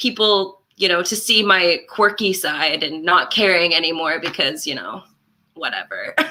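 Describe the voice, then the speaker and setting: A woman's bright, sharp tone at a fairly slow pace. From Canada, Port Moody BC. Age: 20s. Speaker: musician and music teacher. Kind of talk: casual chat.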